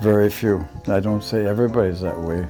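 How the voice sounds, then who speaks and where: With music in the background, a man speaks at a fairly slow pace in a very deep, low pitch. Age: 80s+. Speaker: elderly local resident recalling childhood. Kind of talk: interview answer.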